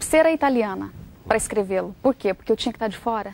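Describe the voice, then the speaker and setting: A woman speaks with a Brazilian accent at a fairly quick pace and a fairly high pitch. Her pitch variation is ordinary, and the sound is dry and close with no echo. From Brazil, Goiás state (Centre-West). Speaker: journalist and author. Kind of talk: interview.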